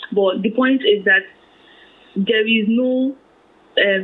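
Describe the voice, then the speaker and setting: A woman speaks with fairly even intonation. Noticeable background noise can be heard. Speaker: personal finance blogger. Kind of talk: interview.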